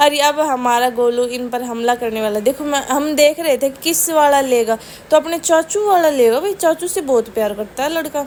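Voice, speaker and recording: A woman speaks in a Rajasthani accent. Her pitch is high, with ordinary variation. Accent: Rajasthani-tinged Hindi. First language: Rajasthani (Marwari/Shekhawati) (speaking Hindi). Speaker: family vlogger. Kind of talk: casual vlog narration.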